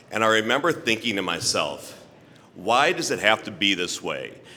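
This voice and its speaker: Vocal fry runs through a man's bright, sharp tone. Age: 60s. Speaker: honoree, LGBTQ bar owner and festival chairperson. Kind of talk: award acceptance speech.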